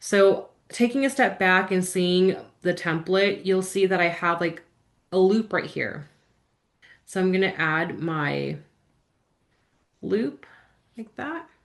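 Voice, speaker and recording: A woman speaks at a very slow pace with long, frequent pauses, using a medium pitch and ordinary pitch variation over a quiet background. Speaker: calligraphy instructor. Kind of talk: live-streamed tutorial. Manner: upbeat, encouraging.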